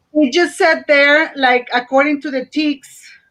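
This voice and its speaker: A woman speaks in a Spanish accent at a high pitch and a fairly slow pace. Her tone is bright and sharp, with ordinary pitch variation. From Mexico (Matamoros). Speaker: teacher. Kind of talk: online panel discussion.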